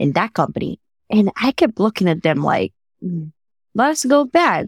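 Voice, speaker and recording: A woman with a Spanish accent speaks at a fairly quick pace with very wide pitch swings, in a very clean, dry, close recording with a silent background and no echo. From Dominican Republic. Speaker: career coach. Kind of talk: podcast interview.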